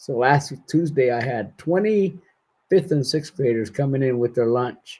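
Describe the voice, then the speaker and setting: Dark, mellow and somewhat breathy tone, fairly slow, with ordinary pitch variation. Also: man. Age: 60s. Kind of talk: casual interview conversation.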